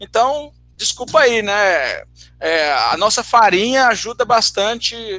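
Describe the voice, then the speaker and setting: A man's raised, projected voice in a northeastern Brazilian accent, high in pitch with ordinary pitch variation, bright and sharp in tone, in a dry, close sound with no echo. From Ceará, northeastern Brazil. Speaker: math teacher. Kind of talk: online talk Q&A. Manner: halting, many repetitions.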